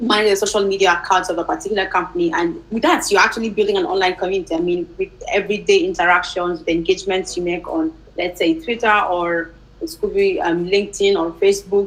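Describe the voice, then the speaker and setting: Noticeable background noise sits behind a woman talking at a very fast pace. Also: medium pitch for a woman, ordinary pitch variation. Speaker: community manager. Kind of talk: panel Q&A answer.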